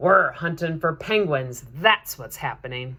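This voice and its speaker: A growling put-on character voice at middle pitch and a fairly slow pace. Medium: read story.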